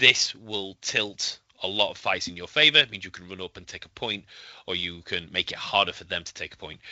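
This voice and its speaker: Speaking at a fairly quick pace in a Yorkshire accent, a man with a fairly low pitch shows ordinary pitch variation and big swings in loudness. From Yorkshire, northern England. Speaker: tabletop wargame player. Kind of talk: podcast interview. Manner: hesitant, many fillers.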